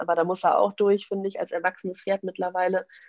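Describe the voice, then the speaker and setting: A woman is talking. Her pace is very fast. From Westphalia, Germany (Münster). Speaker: equestrian vaulting coach. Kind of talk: casual interview.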